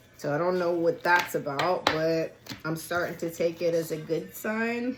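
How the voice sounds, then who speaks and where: With music in the background, a woman speaks at a fairly slow pace and a fairly low pitch. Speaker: tarot card reader. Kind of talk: tarot reading. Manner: animated.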